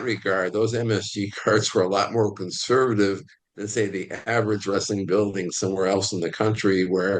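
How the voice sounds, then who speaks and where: A man's unremarkable speaking voice, fairly low in pitch, at a moderate pace against a quiet background. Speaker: wrestling history analyst, podcast co-host. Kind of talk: podcast discussion.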